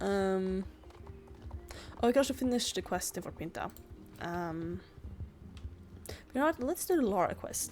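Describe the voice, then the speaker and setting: A woman with a Swedish accent talks at a moderate pace. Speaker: gaming youtuber. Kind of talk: gameplay commentary. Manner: halting.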